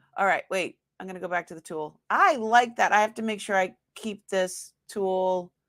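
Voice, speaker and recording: A woman at a medium pitch with an American accent, animated in tone, moderate in pace, with ordinary pitch variation, big swings in loudness, and a very clean recording over a silent background. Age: 50s. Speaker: online live-sale seller. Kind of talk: live sale stream with giveaway. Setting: livestream.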